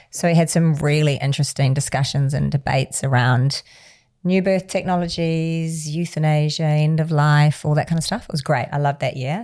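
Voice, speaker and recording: On a very clean recording with a silent background, a woman with a New Zealand accent speaks at a moderate pace in a very deep, low pitch with fairly even intonation. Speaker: charity founder and CEO. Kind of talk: interview. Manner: casual, conversational.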